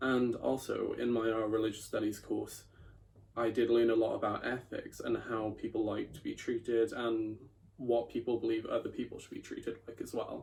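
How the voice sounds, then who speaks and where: A South Welsh accent at a moderate pace. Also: man. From Wales, Bridgend. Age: 20s. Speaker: journalism student. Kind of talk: personal video monologue.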